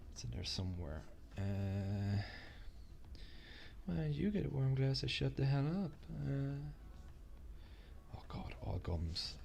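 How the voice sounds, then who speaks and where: A man with an Irish accent speaks fairly slowly with a very deep, low pitch, very wide pitch swings and long, frequent pauses. Audible room echo and noticeable background noise surround him. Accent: Irish, drops TH sound. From Ireland. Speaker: gaming and stock livestreamer. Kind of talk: casual chat. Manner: halting, many fillers and restarts.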